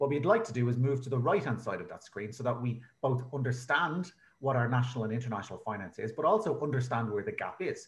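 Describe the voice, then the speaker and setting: The voice is somewhat breathy. It carries an Irish accent. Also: man. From Ireland. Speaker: researcher presenting at a conference. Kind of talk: conference presentation. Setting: online video conference.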